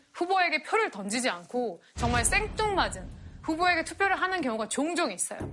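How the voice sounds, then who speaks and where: A woman speaks fairly quickly at an extremely high pitch, her pitch swinging very widely. Noticeable background noise runs underneath. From South Korea. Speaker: political science professor. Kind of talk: lecture.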